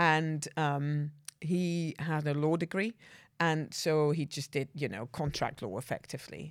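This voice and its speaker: Her voice very deep and low, a woman speaks at a fairly slow pace with ordinary pitch variation in a very clean recording with a silent background. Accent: Dutch. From Netherlands, rural village. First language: Dutch. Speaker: banking executive. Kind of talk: casual interview. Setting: studio.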